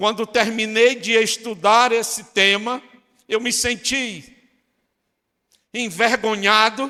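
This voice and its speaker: Raising and projecting his voice, a man speaks very slowly at a high pitch in a bright, sharp tone, with fairly even intonation and long, frequent pauses. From Brazil, Northeast (Fortaleza, Ceará). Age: 60s. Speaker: pastor. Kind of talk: sermon.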